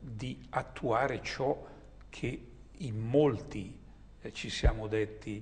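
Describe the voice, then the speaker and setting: A man speaks at a very slow pace. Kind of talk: recorded video greeting address. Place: home room.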